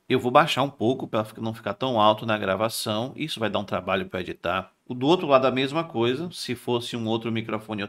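A man talks at a fairly quick pace, with hardly any pauses. His pitch varies in an ordinary way against a quiet background. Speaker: tech youtuber. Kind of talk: product review tutorial. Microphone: testing new condenser mic and interface; studio mic.

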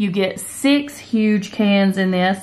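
Very slow speech from a woman. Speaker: home vlogger. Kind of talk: casual haul vlog chat. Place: home room. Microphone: phone near.

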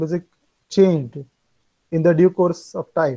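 This man's voice sits at a high pitch, with a dark, mellow tone. The background is quiet. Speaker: music lecturer. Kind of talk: lecture. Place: home room. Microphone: earbuds.

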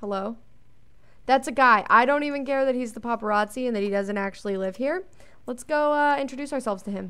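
A woman at a high pitch with an animated, bright, sharp tone, a very fast pace and ordinary pitch variation. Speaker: gaming youtuber. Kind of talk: let's play commentary.

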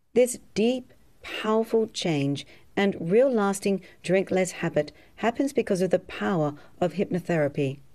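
Speaking with an Australian accent, a woman uses a medium pitch, a dark, mellow tone and lively intonation at a fairly slow pace. The recording is very clean, with a silent background. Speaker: hypnotherapist. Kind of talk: sales pitch.

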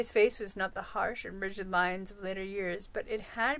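What we hear is an unforced reading voice.

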